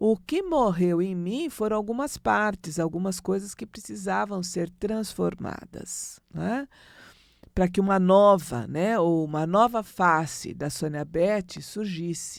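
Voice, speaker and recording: On a very clean recording with a silent background, a woman speaks very slowly at a medium pitch with lively intonation. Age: 60s. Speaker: astrologer. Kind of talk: spiritual talk. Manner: conversational.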